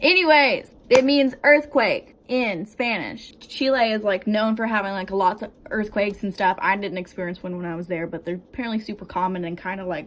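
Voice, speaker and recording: An unremarkable speaking voice with an American accent, lively intonation and big swings in loudness at a moderate pace with hardly any pauses. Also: woman, medium pitch for a woman. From United States. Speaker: vlogger. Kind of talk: casual advice vlog. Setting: home, bedroom. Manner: casual, filler-heavy.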